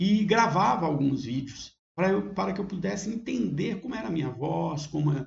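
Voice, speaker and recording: A man talks with a Minas Gerais accent in a somewhat breathy voice. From Brazil, Minas Gerais. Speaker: university teacher. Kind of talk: online course lesson. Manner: conversational with fillers and self-corrections.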